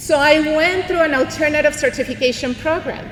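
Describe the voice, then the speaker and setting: A woman's animated voice in a Mexican accent, with audible room echo and noticeable background noise. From Mexico, Monterrey. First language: Spanish. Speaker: bilingual educator, keynote speaker. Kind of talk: motivational speech. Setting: arena stage with audience. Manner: animated, code-switching with Spanish.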